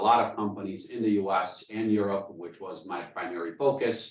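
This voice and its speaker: There is audible room echo as a man with a fairly low voice speaks at a moderate pace with fairly even intonation. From Germany (born in Bosnia). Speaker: business consultant, presenter. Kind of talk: webinar presentation. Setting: video call. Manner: many filler ums and uhs.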